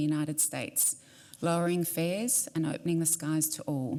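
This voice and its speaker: Her Australian accent carries a fairly low pitch. The woman talks at a fairly quick pace. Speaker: airline executive. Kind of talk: prepared statement.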